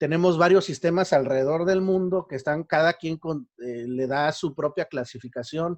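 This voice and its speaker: A man speaks at a fairly slow pace with a Mexico City accent and ordinary pitch variation. The sound is dry and close, with no echo. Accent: Mexico City accent, still noticeable. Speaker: university lecturer. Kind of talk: lecture. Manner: hesitant, many fillers.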